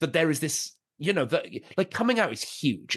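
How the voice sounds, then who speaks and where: A man in a Welsh accent speaks at a fairly high pitch. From Wales. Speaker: stand-up comedian. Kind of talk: podcast interview. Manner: halting, many restarts and fillers.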